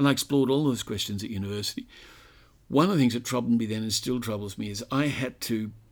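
A man talks at a very fast pace with an Australian accent. The recording is very clean, with a silent background. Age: 60s. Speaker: author and commentator on religion. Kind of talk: interview.

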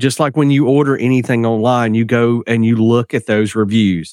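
With a normal speaking voice, a man of medium pitch talks at a moderate pace and fairly even intonation, in a dry, close sound with no echo. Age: 40s. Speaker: digital marketing agency partner. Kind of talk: podcast interview.

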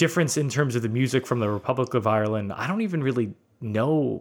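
This man's pitch is medium. He talks with lively intonation. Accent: American. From US Northeast (Brooklyn, New York). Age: 40s. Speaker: podcast host. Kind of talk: casual chat.

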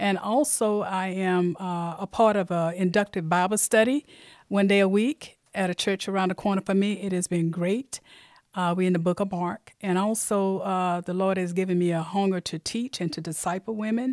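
Speaking at a moderate pace in an Alabama accent, a woman with a medium-pitched voice is captured in a very clean recording with a silent background and a dry, close sound with no echo. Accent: Southern US (Alabama). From US South, Mobile, Alabama. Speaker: church member. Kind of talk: testimony.

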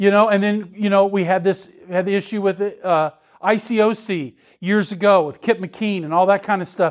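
This man's voice sits high in pitch, and his intonation stays fairly even at a moderate pace. The recording is very clean, with a silent background. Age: 60s. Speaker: ministry leader and conference speaker. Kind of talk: conference talk. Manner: halting, with many fillers.

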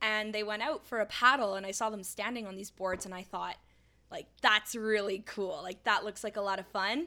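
A woman with a Canadian accent uses a plain, everyday voice at a fairly high pitch and moderate pace, with fairly even intonation and big swings in loudness, in a very clean recording with a silent background. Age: 20s. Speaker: semi-pro paddleboard athlete and surf instructor. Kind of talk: interview. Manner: casual, frequent fillers.

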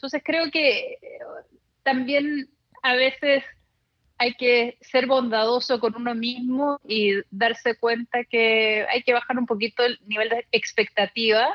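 This woman speaks with a high pitch. Her pace is very slow. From Chile. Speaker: journalist and blogger. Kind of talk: interview conversation.

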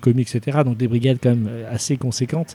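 Keeping his intonation fairly even, a man talks at a medium pitch. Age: 30s. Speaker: chef. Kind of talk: interview. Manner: halting.

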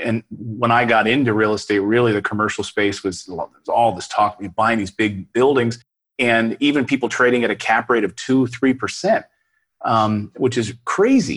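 A man talks at a fairly quick pace in an unremarkable speaking voice, medium in pitch with ordinary pitch variation. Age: 40s. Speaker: real estate investor and YouTuber. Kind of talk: interview.

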